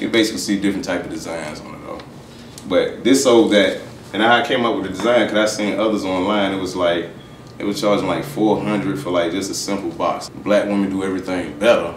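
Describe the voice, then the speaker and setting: A man talks at a fairly quick pace with a fairly low pitch and ordinary pitch variation. Light background noise and audible room echo are present. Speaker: guest. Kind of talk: interview answer. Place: home room.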